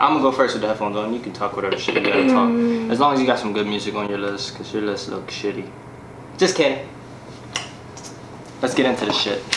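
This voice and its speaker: A man speaks at a very fast pace with a fairly low pitch, ordinary pitch variation and long, frequent pauses over loud background noise. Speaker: husband in a married couple vlog. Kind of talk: casual talk to camera. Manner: casual, joking, profane. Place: home room. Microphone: camera far.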